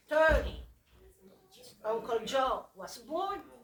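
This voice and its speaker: A woman with a non-native accent, high in pitch, with very wide pitch swings. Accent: foreign. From Sicily, Italy. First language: Italian (Sicilian). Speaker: family elder. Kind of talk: family history storytelling.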